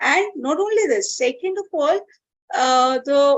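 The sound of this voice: A woman with high pitch, lively intonation and a fairly slow pace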